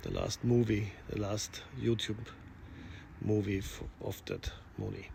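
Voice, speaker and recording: Speaking at a very slow pace with long, frequent pauses, a man talks in a non-native accent. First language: not English. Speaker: pilot and aerial cinematographer. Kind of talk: casual vlog talk.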